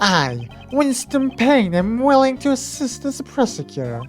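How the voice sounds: A put-on character voice, fairly high in pitch, at a moderate pace over faint background music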